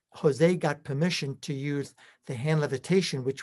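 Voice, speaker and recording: This man has a fairly high pitch and a somewhat breathy voice with an American accent. The recording is very clean with a silent background. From US Northeast, Brooklyn, New York. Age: 70s. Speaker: personal development trainer. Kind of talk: interview.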